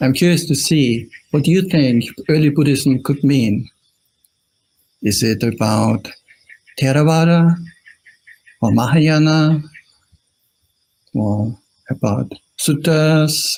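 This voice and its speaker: A man in an Austrian accent, somewhat breathy and fairly high-pitched, with long, frequent pauses. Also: very even loudness. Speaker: Buddhist monk. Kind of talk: dharma talk. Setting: live stream.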